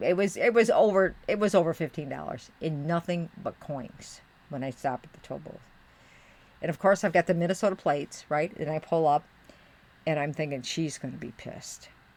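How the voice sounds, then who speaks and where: The speaker is a woman with an American accent and a fairly low pitch. She keeps a moderate pace with ordinary pitch variation. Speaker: streamer. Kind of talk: casual live stream chat. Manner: animated.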